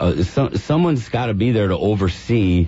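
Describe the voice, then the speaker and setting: A man speaking at a moderate pace. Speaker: healthcare patient advocate, company representative. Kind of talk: radio talk show guest interview answer. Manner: conversational, hesitant with filler words.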